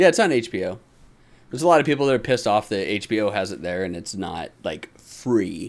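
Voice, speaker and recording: Very fast, a man in a fairly low pitch delivers very wide pitch swings and big swings in loudness. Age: 40s. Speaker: podcast host. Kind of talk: casual chat.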